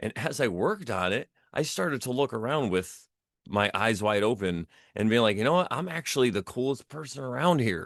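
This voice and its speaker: A man with a fairly low pitch talks at a fairly quick pace with lively intonation. The sound is dry and close with no echo, over a quiet background. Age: 40s. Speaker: artist and DJ. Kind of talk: casual chat. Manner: halting.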